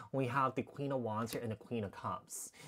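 A man keeps a moderate pace while noticeable background noise runs underneath. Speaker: tarot reader. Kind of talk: tarot reading commentary. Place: home room. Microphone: lapel.

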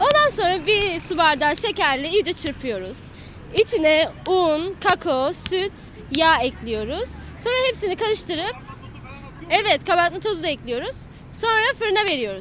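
Over light background noise, a woman at an extremely high pitch makes very wide pitch swings at a fairly slow pace, the sound dry with no echo. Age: 30s. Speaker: mother; interviewee. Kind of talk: street interview. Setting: outdoors. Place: street. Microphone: handheld.

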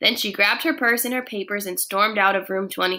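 What you hear is a natural reading voice.

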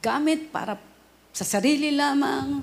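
With lively intonation and a high pitch, a woman talks at a very slow pace. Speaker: radio preacher. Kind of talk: sermon. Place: studio.

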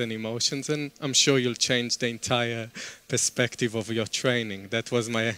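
Fairly even intonation and a moderate pace from a male speaker. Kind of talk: talk to an audience. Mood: warm, smiling, humorous. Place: hall. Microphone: headset.

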